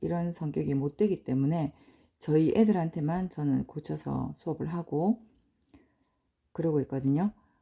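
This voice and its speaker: Very deep, low pitch from a woman in a dark, mellow tone, fairly slow with ordinary pitch variation, in a very clean recording with a silent background. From provincial South Korea. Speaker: English teacher, cram school owner. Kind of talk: lecture.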